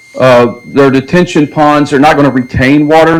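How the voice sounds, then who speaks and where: With an American accent, a man talks in a fairly high pitch and fairly even intonation over noticeable background noise. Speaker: land acquisition manager for developer. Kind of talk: presentation to city council. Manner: loud.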